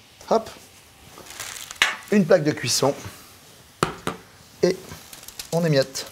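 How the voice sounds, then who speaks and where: A man's high-pitched voice at a fairly slow pace, with ordinary pitch variation, long and frequent pauses, and noticeable background noise. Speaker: chef. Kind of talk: cooking tutorial. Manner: animated.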